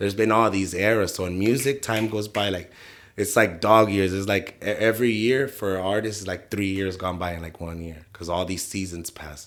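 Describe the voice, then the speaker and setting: At a moderate pace, a man with a fairly low pitch speaks with big swings in loudness. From San Diego, California. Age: 20s. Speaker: musician. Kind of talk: casual chat. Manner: animated.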